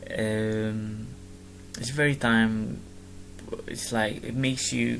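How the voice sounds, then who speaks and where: Amid audible room echo, a man with an Arabic accent talks at a very slow pace, his fairly low pitch showing ordinary variation. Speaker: gamer vlogger. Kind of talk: casual explanation of a presentation. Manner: halting, many fillers and restarts.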